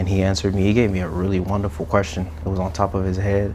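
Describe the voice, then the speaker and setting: A man talks at a very fast pace. The recording carries noticeable background noise and audible room echo. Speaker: content creator. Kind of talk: casual interview conversation.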